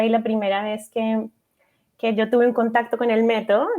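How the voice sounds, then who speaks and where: A woman speaks at a moderate pace against a quiet background. Her pitch is fairly high and her tone is dark and mellow. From Colombia. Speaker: family physician. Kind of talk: radio interview. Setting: radio studio.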